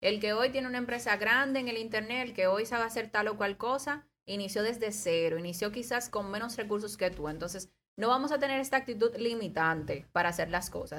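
On a very clean recording with a silent background, a woman with an ordinary speaking voice talks fairly quickly at a fairly high pitch with ordinary pitch variation. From Dominican Republic, La Romana. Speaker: economist. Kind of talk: casual talk show interview. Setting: radio studio.

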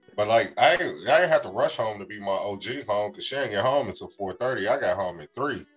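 Over music in the background, a man talks at a moderate pace with hardly any pauses and big swings in loudness. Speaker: podcast co-host. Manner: casual, joking.

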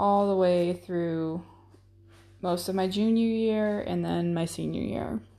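Very slowly, a woman speaks in a dark, mellow tone at a fairly low pitch with ordinary pitch variation. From Florida. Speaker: soldier, podcast co-host. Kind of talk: personal storytelling monologue.

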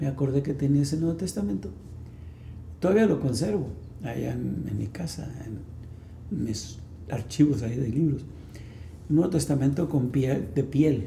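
A man's fairly high, somewhat breathy voice with a dark, mellow tone and audible room echo. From Mexico, Sonora (Ciudad Obregón). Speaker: pastor. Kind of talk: testimony. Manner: halting.

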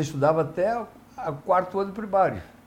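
This is a man speaking. His voice has vocal fry. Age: 70s. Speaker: mayoral candidate, former mayor. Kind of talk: live interview.

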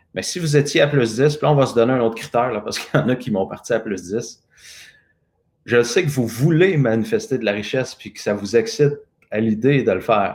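A man talks at a fairly quick pace with a Quebec accent. His pitch is medium, with ordinary variation. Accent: Québécois French. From Quebec, Lanaudière. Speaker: personal transformation coach. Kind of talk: live interview with guided exercise. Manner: spontaneous.

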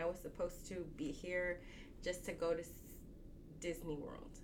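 At a fairly slow pace, a woman speaks at medium pitch. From Texas, Dallas area (born Mexico, moved at 4). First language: Spanish. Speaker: tailor. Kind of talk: casual interview.

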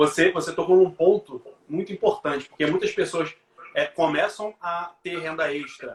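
A man's high voice at a moderate pace with ordinary pitch variation. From Brazil, Rio de Janeiro. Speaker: teacher and live show host. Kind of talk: live stream interview.

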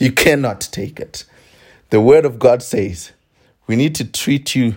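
A man speaks very slowly in a somewhat breathy voice with lively intonation, on a very clean recording with a silent background. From South Africa (Venda). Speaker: podcast co-host. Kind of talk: casual chat.

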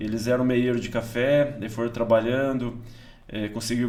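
Audible room echo around a man's moderately paced, medium-pitched speech. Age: 50s. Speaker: pastor and farmer. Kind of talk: casual interview, testimony. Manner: halting, with many repeated words.

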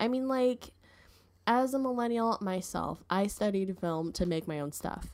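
An unremarkable speaking voice from a woman, with lively intonation at a moderate pace. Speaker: podcast host.

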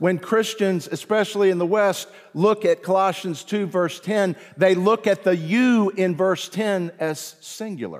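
With a Southern US accent, a man talks in a high-pitched voice. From US South (South Carolina/Virginia roots). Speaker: pastor. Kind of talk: sermon. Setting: church. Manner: animated.

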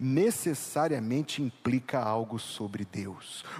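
This is a normal speaking voice at a fairly slow pace with ordinary pitch variation. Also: man. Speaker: pastor. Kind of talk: sermon. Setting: church.

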